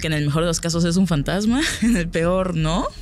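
Audible room echo and noticeable background noise surround a woman's voice. Her pitch is fairly low, with ordinary pitch variation. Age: 30s. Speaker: nurse. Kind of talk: casual chat.

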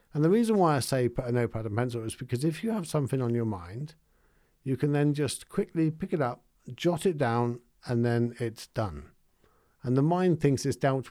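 A speaker with an English accent talks at a moderate pace in a dark, mellow tone with ordinary pitch variation. The recording is very clean, with a silent background. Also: man. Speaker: meditation teacher and podcast host. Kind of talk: solo podcast talk. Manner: calm.

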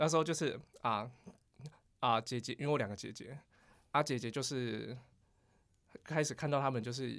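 Long, frequent pauses break up a man's speech at a moderate pace, with vocal fry, medium pitch and ordinary pitch variation. The recording is very clean, with a silent background. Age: 30s. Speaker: podcast co-host. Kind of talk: casual chat.

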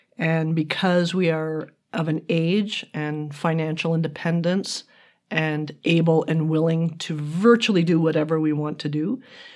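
A woman speaks in a plain, everyday voice, fairly low in pitch, with fairly even intonation at a fairly slow pace. The recording is very clean, with a silent background. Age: 60s. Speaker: retired marketing executive, podcast guest. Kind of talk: casual interview chat. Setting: sharing one microphone with host.

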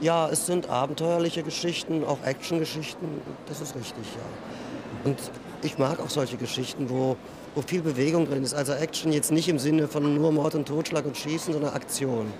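A man with a fairly high pitch keeps a moderate pace and fairly even intonation while noticeable background noise runs behind him. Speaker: fantasy novelist. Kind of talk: interview.

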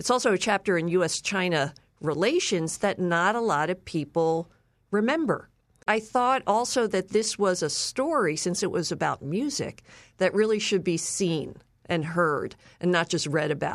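A woman with an American accent speaks at a moderate pace and a medium pitch, with lively intonation. Her loudness stays very even, in an ordinary speaking voice. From Philadelphia, US. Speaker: author and filmmaker, former journalist. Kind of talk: interview.

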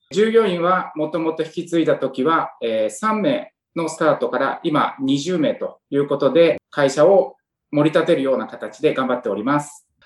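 A man with a plain, everyday voice uses lively intonation and keeps a moderate pace. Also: fairly high pitch for a man. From Saitama (Soka), Japan. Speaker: car repair company president. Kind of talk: interview. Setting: video call.

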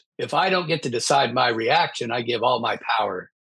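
A man with an American accent talks at a fairly slow pace and medium pitch, with ordinary pitch variation. His tone is bright and sharp, with vocal fry. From US Midwest. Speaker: business author in recovery. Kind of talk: interview, personal testimony.

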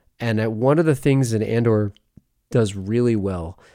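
A man's dark, mellow voice, fairly low in pitch with ordinary variation, in a very clean recording with a silent background. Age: 30s. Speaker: movie podcaster. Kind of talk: casual chat. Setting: live stream.

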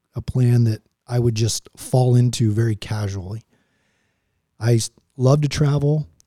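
Dry, close sound with no echo from a man with an American accent, somewhat breathy with a dark, mellow tone, at a moderate pace with fairly even intonation and long, frequent pauses. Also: medium pitch for a man. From Oklahoma, Tulsa. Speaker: retired Marine pilot. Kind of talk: interview conversation.

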